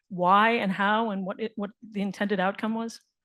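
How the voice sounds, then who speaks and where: Using an ordinary speaking voice, a woman with fairly high pitch talks at a moderate pace. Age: 60s. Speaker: panel moderator. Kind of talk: panel discussion.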